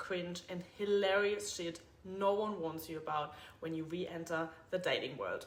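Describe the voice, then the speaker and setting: With audible room echo, a woman talks at a moderate pace. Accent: German. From Germany. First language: German. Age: 30s. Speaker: podcast host, personal trainer. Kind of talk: casual monologue podcast intro. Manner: blunt, straightforward.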